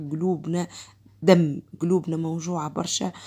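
In a fairly low pitch, a woman speaks very slowly with monotone, flat intonation. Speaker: home vlogger. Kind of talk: casual vlog chat. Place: home room.

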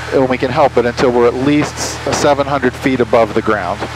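A man at a moderate pace, dry with no echo, over noticeable background noise. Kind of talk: instructional explanation. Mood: calm, patient. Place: plane. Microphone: headset.

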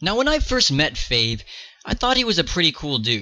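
A man's angry, bright, sharp voice at a fairly quick pace. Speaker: YouTuber ranting about another creator. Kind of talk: angry rant. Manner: angry, heated, swearing; accusatory, emphatic.

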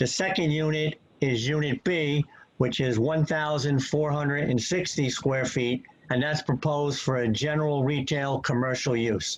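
This man has an ordinary speaking voice at a fairly high pitch. He keeps a moderate pace, fairly even intonation and very even loudness. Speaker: engineer and planner giving testimony. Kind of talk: expert testimony at public hearing. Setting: video call. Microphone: connection freezing.

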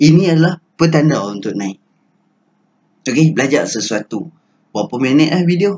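A man with a fairly high pitch, a moderate pace and long, frequent pauses. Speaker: stock trading educator. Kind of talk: tutorial. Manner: casual, filler-heavy.

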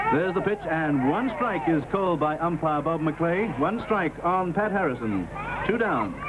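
Over noticeable background noise, a man speaks at a high pitch with lively intonation. His pace is moderate and his loudness very even. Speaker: sports commentator. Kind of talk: vintage sports broadcast commentary, live play-by-play. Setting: outdoor stadium, televised broadcast. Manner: brisk, rhythmic play-by-play delivery; upbeat, warmly enthusiastic, addressing American viewers as friends.

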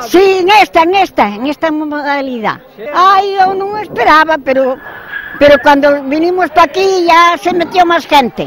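A woman with an extremely high pitch speaks at a fairly slow pace. The sound is dry with no echo, with light background noise. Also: ordinary pitch variation. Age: 80s+. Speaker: bowls player. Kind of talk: interview answer. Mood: cheerful, proud, reminiscing. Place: stadium. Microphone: handheld.

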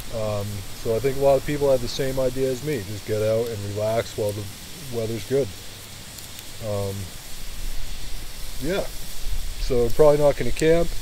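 The speech moves at a moderate pace with long, frequent pauses and ordinary pitch variation, in a dry sound with no echo and noticeable background noise. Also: man. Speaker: outdoor vlogger. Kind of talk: casual vlog chat. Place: forest.

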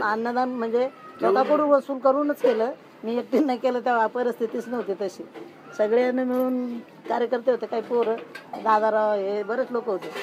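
Over noticeable background noise, a woman talks in a high voice. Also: fairly even intonation. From Maharashtra, India. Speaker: Dalit Panthers activist, movement participant. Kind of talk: oral history interview answer. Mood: calm, reminiscing. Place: home room.

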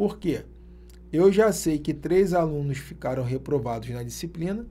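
Fairly slow speech from a man with a dark, mellow tone and lively intonation. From Brazil. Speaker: math teacher for exam prep. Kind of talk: online video lesson. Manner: animated.

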